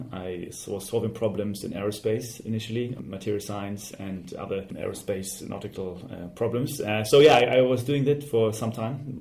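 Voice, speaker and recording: With a German accent, a man talks at a fairly low pitch amid audible room echo and noticeable background noise. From Germany. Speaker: fintech startup CEO. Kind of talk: interview. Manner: hesitant, with fillers.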